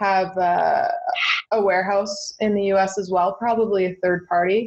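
Speaking fairly slowly at a medium pitch, a woman has a normal speaking voice. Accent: Canadian. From eastern Ontario, Canada. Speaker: entrepreneur. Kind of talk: interview.

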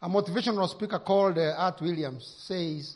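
A man with a Kenyan accent, high-pitched, at a moderate pace with lively intonation. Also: quiet background. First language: Kikuyu. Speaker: pastor. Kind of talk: sermon. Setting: church.

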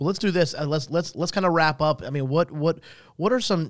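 The speaker is a man. He has a North Carolina accent. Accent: US Southern (North Carolina). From North Carolina (Salisbury). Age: 30s. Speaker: podcast host. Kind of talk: casual interview.

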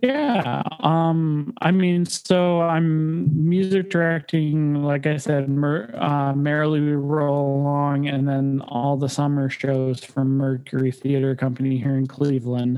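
A man with a Midwestern US accent speaks at a very slow pace with hardly any pauses, a fairly high pitch and ordinary pitch variation. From Michigan, Detroit area. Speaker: music director and pianist. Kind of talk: casual interview.

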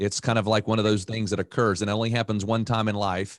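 The speaker has an American accent and a plain, everyday voice. The pace is fairly quick over a quiet background. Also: man. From North Carolina (Raleigh). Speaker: financial advisor. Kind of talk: casual interview.

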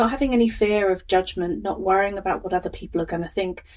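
A woman speaks at a medium pitch with an English Midlands accent. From England, Northamptonshire. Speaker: life coach and podcast host. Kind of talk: personal storytelling monologue.

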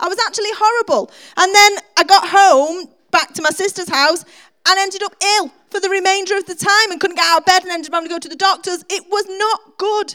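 A raised, projected voice with a bright, sharp tone moves at a fairly quick pace, its intonation fairly even and its loudness swinging widely. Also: woman, extremely high pitch for a woman. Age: 40s. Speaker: preacher. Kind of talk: sermon. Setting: church.

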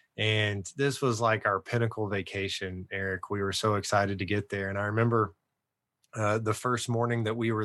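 Over a quiet background, a man with an American accent and an unremarkable speaking voice talks at medium pitch and a moderate pace, with fairly even intonation. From Texas. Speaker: ministry leader and legacy-letter advocate. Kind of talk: interview, personal testimony.

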